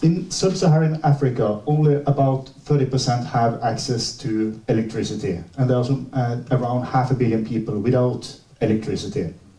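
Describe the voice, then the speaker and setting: At a moderate pace, with hardly any pauses, very even loudness and ordinary pitch variation, the voice comes through noticeable background noise and audible room echo. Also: man, medium pitch for a man. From Norway. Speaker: seminar speaker on water and dams. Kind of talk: seminar presentation. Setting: seminar with audience. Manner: halting, many fillers.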